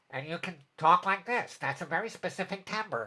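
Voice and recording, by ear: The speaker uses a put-on character voice that sounds nasal at a middle pitch. The pace is moderate.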